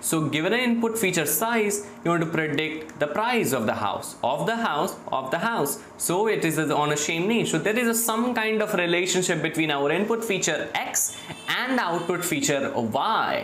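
Noticeable background noise is present throughout. The speaker barely pauses at all. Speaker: machine learning instructor. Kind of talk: lecture. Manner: halting, many repetitions and fillers; slow.

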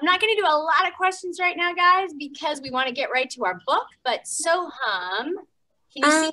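A woman uses a raised, projected voice with a bright, sharp tone. She moves at a fairly quick pace against a quiet background. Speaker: story time host. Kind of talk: children's story time hosting. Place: gym.

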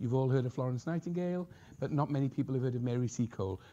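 A dark, mellow tone with a Welsh accent and ordinary pitch variation. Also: man. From Wales. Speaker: professor. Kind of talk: lecture. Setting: stage with audience.

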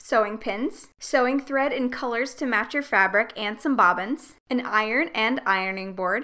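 Against a quiet background, a woman with a high pitch talks at a moderate pace, her tone bright and sharp and her pitch variation ordinary. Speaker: craft tutorial host. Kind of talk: tutorial.

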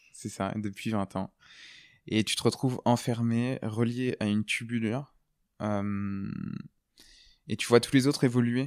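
Speaking at a fairly slow pace with long, frequent pauses, a man uses medium pitch and fairly even intonation in a dry, close sound with no echo. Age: 20s. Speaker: cancer survivor, former volunteer firefighter. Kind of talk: testimony. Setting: sitting in a rocking chair. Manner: hesitant, many filler words.

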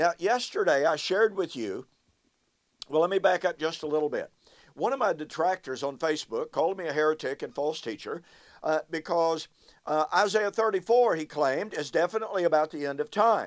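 A man's high-pitched voice at a fairly quick pace, with ordinary pitch variation against a quiet background. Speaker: bible teacher. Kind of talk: lecture. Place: home room.

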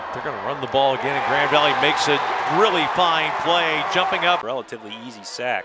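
The speech moves at a very fast pace, dry with no echo, over loud background noise. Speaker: play-by-play sports commentator. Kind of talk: live commentary. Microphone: headset.

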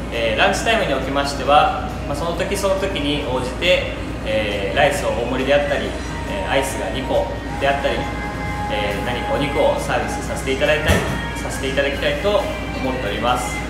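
A man talks at a fairly quick pace with audible room echo and loud music playing in the background. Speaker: restaurant owner. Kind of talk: promotional announcement. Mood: polite, formal, slightly nervous. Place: cafe. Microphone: camera far.

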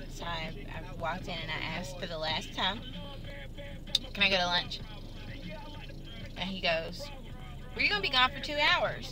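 Against noticeable background noise, a woman with a fairly low pitch talks at a moderate pace with ordinary pitch variation, big swings in loudness and long, frequent pauses. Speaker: vlogger. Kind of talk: casual vlog chat. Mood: irritated recounting of manager. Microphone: phone near.

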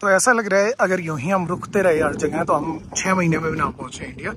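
A man speaks at a fairly quick pace in a high voice, the sound dry with no echo and noticeable noise in the background. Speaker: travel vlogger. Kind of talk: casual vlog chat. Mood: relaxed, enthusiastic. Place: open country. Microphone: phone near.

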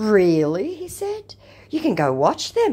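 A woman talks at a fairly slow pace with an Australian accent. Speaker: YouTuber who baits scammers. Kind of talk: casual vlog reading out chat messages. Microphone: relatively poor sound quality.

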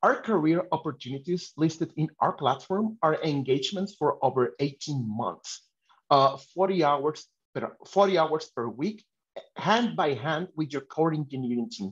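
Against a quiet background, a man with a fairly high pitch speaks at a fairly slow pace using lively intonation. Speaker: webinar host for a tech talent company. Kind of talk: hosted webinar introduction and Q&A. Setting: online video webinar. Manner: halting, many filler sounds. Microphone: video call.

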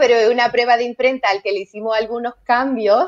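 Her intonation stays fairly even. The speaker is a woman.

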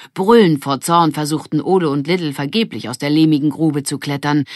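The recording is very clean, with a silent background. A woman speaks at a low pitch.

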